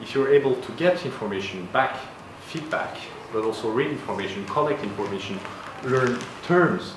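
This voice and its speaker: A man with a French accent at a moderate pace, with ordinary pitch variation, audible room echo and noticeable background noise. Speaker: university design program head. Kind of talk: Q&A at a meetup.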